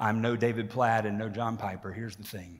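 Against a quiet background, a man talks in a monotone, flat intonation. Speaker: pastor preaching. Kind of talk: sermon. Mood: warm, lightly humorous opening. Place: hall. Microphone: podium.

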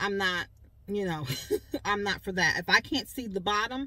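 Recorded dry with no echo, a woman speaks at a moderate pace in a bright, sharp tone. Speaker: shopping vlogger. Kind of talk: casual vlog chat. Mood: chatty, relaxed. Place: car. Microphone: phone near.

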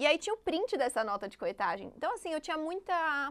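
A woman with an ordinary speaking voice, a moderate pace and lively intonation. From Brazil, São Paulo area. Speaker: digital marketing entrepreneur. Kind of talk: podcast interview.

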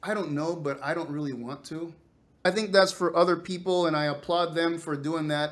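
With a high voice and fairly even intonation, a man speaks at a moderate pace. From Venezuela. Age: 50s. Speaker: space scientist. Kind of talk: interview. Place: home room.

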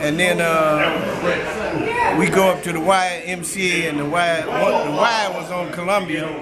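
Loud background noise fills the recording. Through it, a man talks at a fairly slow pace. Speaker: interviewee. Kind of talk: interview answer. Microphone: phone near.

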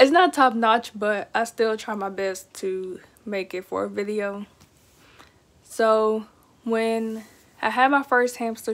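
In an American accent, a woman speaks with a fairly high voice and fairly even intonation. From Texas. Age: 20s. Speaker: pet YouTuber. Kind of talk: casual vlog monologue. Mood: relaxed, chatty. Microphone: phone near.

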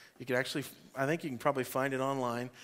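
The tone is bright and sharp. The speaker is a man. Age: 40s. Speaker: pastor. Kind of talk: sermon. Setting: church. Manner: animated. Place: church.

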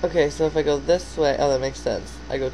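The speech goes at a very fast pace. There is light background noise. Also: woman. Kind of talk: casual vlog chat. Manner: sluggish, hungover, low-energy voice. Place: home room. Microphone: phone near.

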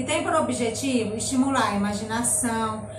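A woman talks fairly slowly, with ordinary pitch variation. Noticeable background noise can be heard. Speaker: nursery teacher. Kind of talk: tutorial. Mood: warm, gentle. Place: home room. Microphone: camera far.

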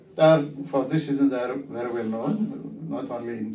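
Audible room echo and light background noise around a man's speech. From Ethiopia. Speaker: visiting surgeon, observer. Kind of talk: interview testimonial. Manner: hesitant, many fillers. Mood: appreciative, calm. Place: office.

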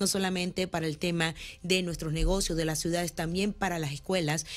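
This is a woman speaking. Her pace is very fast. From Nicaragua. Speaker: businesswoman and political candidate; candidate. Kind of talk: campaign interview. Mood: earnest, persuasive. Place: studio. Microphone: studio mic.

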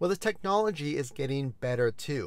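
Here a man talks in a dry recording with no echo. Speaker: car review host. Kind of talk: informational commentary. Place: car. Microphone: lapel.

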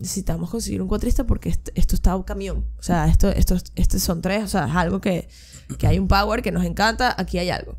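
The background is quiet. A woman is speaking. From Venezuela. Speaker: percussionist and radio presenter. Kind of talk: casual interview chat. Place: studio. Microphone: studio mic.

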